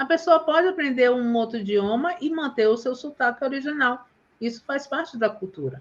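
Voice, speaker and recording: The woman's pitch is high, with ordinary variation. She speaks at a moderate pace. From Bahia, Brazil. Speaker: teacher and live host. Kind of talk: casual live chat. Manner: animated.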